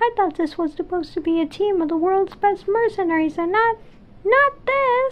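A woman uses a put-on character voice with an extremely high pitch. Her intonation is lively and her pace moderate. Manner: haughty, condescending.

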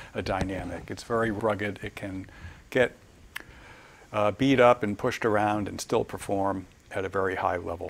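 Moderate pace and fairly even intonation, with long, frequent pauses over light background noise. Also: man, fairly low pitch for a man. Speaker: presenter. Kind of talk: lecture. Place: office.

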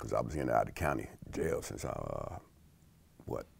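Someone with an American accent speaks at a fairly quick pace, the sound dry with no echo. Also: man. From South Side of Chicago. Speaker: food company employee. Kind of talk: interview answer. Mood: calm, reflective life story. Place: studio. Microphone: lapel.

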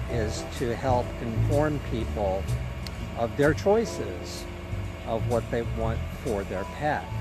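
Against clear background music, a man speaks very slowly in a dry sound with no echo. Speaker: brand ambassador vlogger. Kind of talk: casual vlog chat. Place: street. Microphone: phone near.

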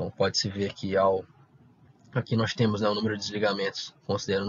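Somewhat breathy and fairly low in pitch, a man talks at a very fast pace with a Brazilian accent. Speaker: researcher presenting a paper. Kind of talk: conference presentation.

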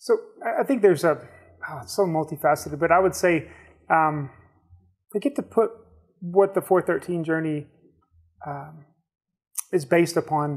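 Against a quiet background, a man talks at a moderate pace with ordinary pitch variation and long, frequent pauses. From Georgia, US South. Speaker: nonprofit ministry leader, Marine. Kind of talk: casual interview. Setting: studio. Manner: halting, with many fillers. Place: studio. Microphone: lapel.

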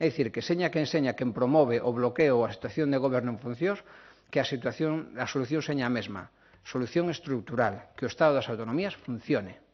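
Against a quiet background, a man talks very fast at a medium pitch with ordinary pitch variation. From Galicia. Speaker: politician. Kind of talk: press conference statement. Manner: formal. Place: hall. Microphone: podium.

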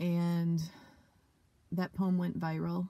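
This woman's somewhat breathy voice sits fairly low, with a dark, mellow tone and monotone, flat intonation. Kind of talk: interview answer. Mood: reflective, emotional. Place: car. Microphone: phone near.

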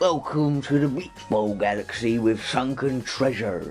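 A man's put-on character voice at medium pitch and a moderate pace, over clear background music.

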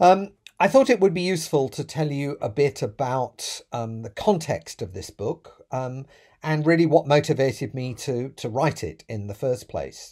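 A man in a British accent, fairly slow and somewhat breathy, dark and mellow in tone, with lively intonation, big swings in loudness and a quiet background. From UK. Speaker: professor. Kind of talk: prepared talk to camera. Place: home room.

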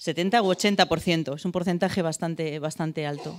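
A woman talks in a plain, everyday voice at a fairly low pitch. Her pace is moderate, her pitch varies in an ordinary way, and the background is quiet. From Madrid, Spain; Spain. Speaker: abuse survivor and association co-founder. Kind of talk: church talk. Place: church. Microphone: handheld.

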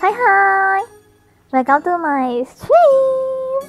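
An extremely high-pitched cartoonish character voice with very wide pitch swings, over faint background music. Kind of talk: playful livestream greeting. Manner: upbeat.

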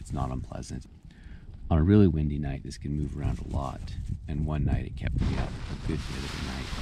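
The very deep, low voice of a man comes through with noticeable background noise and a dry sound with no echo. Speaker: backpacker reviewing gear. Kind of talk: casual vlog chat. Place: tent. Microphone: phone near.

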